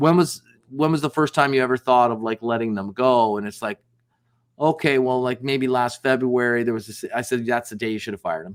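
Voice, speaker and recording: On a very clean recording with a silent background and a dry, close sound with no echo, a man with a normal speaking voice talks at a fairly quick pace and medium pitch with ordinary pitch variation. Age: 60s. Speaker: business founder and sales executive. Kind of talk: podcast interview. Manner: casual, conversational with frequent fillers.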